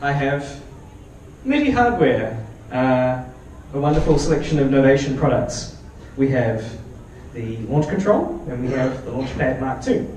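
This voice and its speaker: At a fairly slow pace, a man with a New Zealand accent speaks with long, frequent pauses, amid noticeable background noise and audible room echo. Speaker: software developer and electronic musician. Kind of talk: conference talk with live demo. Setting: meetup stage with audience. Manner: casual, hesitant with fillers.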